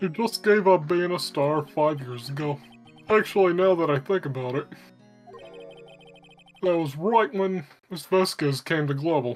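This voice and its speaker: A put-on character voice at a middle pitch moves at a moderate pace with long, frequent pauses. Faint music plays in the background. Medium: stage play. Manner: chatty, friendly.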